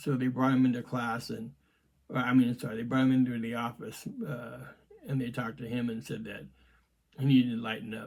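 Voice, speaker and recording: A man speaks at a medium pitch in a monotone, flat intonation. His loudness swings widely. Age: 60s. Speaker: martial arts grandmaster and podcast host. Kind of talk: casual reminiscing monologue. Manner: hesitant, many fillers.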